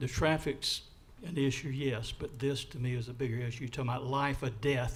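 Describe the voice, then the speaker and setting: There is audible room echo as a man speaks in a somewhat breathy voice. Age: 70s. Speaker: resident giving public comment. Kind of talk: public comment at council meeting. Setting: city council meeting.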